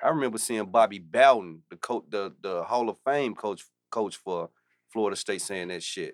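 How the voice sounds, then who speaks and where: In a dry, close sound with no echo, a man with an unremarkable speaking voice, a fairly low pitch and ordinary pitch variation talks at a moderate pace. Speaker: podcast co-host. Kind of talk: casual banter. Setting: studio.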